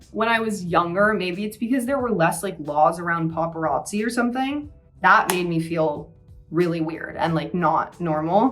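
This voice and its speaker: A woman talks with an American accent over music in the background. Her voice sits fairly low, and her intonation is lively. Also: moderate pace. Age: 20s. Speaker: university student. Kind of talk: casual talk to camera, beauty tutorial. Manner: chatty, filler-heavy.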